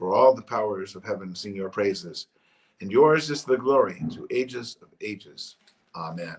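A man with a normal speaking voice, medium pitch, lively intonation and a moderate pace. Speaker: church service leader. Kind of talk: liturgical service, prayers and canticle read aloud. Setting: online church service. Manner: fervent, earnest, solemn.

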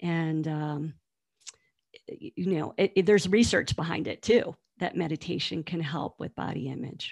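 In an American accent, a woman with a plain, everyday voice talks at a moderate pace, her pitch fairly low with ordinary variation. Her loudness swings widely. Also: dry, close sound with no echo. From US East Coast. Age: 50s. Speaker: nutrition and body image coach. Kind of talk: interview conversation.

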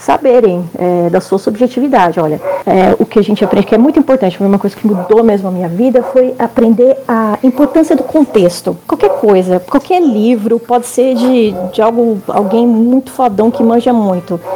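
Over noticeable background noise, a woman talks at a fairly high pitch with lively intonation and hardly any pauses. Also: moderate pace. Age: 30s. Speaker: historian. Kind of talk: casual chat.

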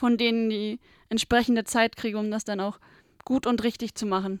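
A woman speaks at a fairly quick pace. The recording is very clean and dry, close with no echo, over a silent background. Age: 20s. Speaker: trainee office clerk, visually impaired. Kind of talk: interview. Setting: studio.

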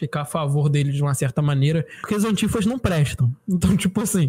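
A plain, everyday voice carries lively intonation. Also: man. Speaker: podcast co-host. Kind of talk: casual chat.

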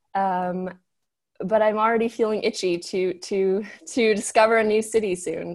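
Here is a plain, everyday voice with fairly even intonation at a fairly slow pace. The recording is very clean with a silent background. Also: woman. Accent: General American. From Los Angeles, US. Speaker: fashion model and health coach. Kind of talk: casual interview.

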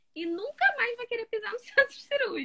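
Very wide pitch swings in a bright, sharp, raised and projected female voice. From Rio de Janeiro, Baixada Fluminense. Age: 20s. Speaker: medical student. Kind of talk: interview. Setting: at home.

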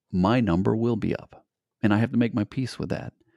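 Calm in tone, a man speaks at a fairly low pitch with ordinary pitch variation, in a dry, close sound with no echo on a very clean recording with a silent background. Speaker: adventure show host and founder. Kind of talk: interview.

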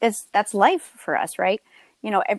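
A woman with an American accent talks at a fairly quick pace and a fairly high pitch, in an unremarkable speaking voice. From New Jersey. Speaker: wedding photographer. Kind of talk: testimony.

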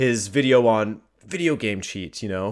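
This man has a normal speaking voice with a Canadian accent. His pitch sits in the medium range with ordinary pitch variation. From Canada. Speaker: YouTube soccer content creator. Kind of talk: casual interview chat. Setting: remote call from West Coast.

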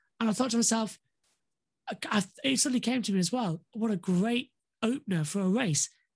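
A woman with a northern English accent speaks at a fairly high pitch and a fairly quick pace, somewhat breathy and with lively intonation, keeping her loudness very even while taking long, frequent pauses. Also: quiet background. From northern England. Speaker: motorsport commentator. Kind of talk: casual interview.

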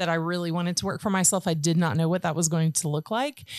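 A woman with a plain, everyday voice and an American accent speaks with ordinary pitch variation on a very clean recording with a silent background. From Georgia, US. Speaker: podcast host, artist and business owner. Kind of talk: casual interview chat; scripted intro.

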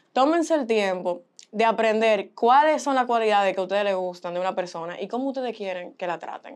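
Here is a woman with an unremarkable speaking voice, fairly high in pitch, with lively intonation and a fairly quick pace. The background is quiet. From Boston, US, Dominican parents. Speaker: model and communications student. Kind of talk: casual chat. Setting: studio.

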